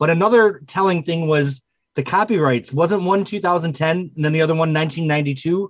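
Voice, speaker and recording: At a fairly quick pace, a man speaks in a high voice with ordinary pitch variation. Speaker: book collector. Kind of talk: casual chat.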